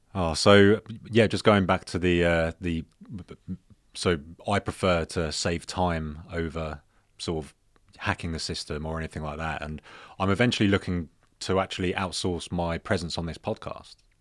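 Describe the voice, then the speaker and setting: A man with a British accent and a very deep, low pitch speaks at a moderate pace with fairly even intonation, big swings in loudness and long, frequent pauses. The recording is very clean with a silent background. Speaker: podcast host. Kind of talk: casual chat.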